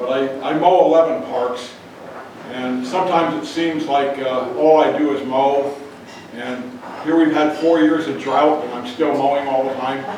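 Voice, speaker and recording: With a Midwestern US accent, a man speaks at a moderate pace in a fairly high pitch, his intonation fairly even, amid noticeable background noise and audible room echo. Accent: US Midwest. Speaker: conservation worker giving a presentation. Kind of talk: informal talk to local audience. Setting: church hall with audience. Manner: loud; halting, many fillers.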